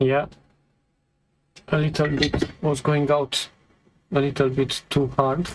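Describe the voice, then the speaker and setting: A man with a non-native accent and a fairly high pitch speaks at a very slow pace with long, frequent pauses. His intonation is monotone and flat, and his loudness stays very even. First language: not English. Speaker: electronics repair technician. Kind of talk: tutorial. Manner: halting.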